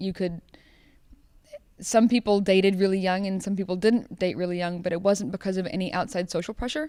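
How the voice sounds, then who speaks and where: A woman with a dark, mellow tone at a medium pitch, with ordinary pitch variation and a fairly quick pace. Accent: American. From New Zealand, then US from mid-teens. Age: 20s. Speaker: medical student. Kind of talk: personal testimony interview. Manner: casual, hesitant with fillers.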